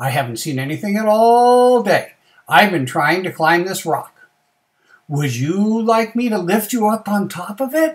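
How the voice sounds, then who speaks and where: A man uses a put-on character voice pitched high. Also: moderate pace. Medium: read story.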